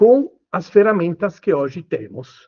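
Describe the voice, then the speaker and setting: The voice comes with an Italian accent and very wide pitch swings. It moves at a very slow pace. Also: man. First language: Italian (speaking Portuguese). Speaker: lawyer. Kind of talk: panel talk. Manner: hesitant, many fillers.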